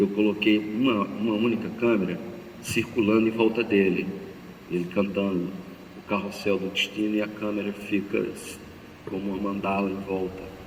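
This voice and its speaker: In a flat monotone with long, frequent pauses, a man speaks at fairly low pitch with audible room echo. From Brazilian Northeast, Paraíba. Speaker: cinematographer and film director. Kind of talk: talk to an audience. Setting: church with audience. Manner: halting, repeating words.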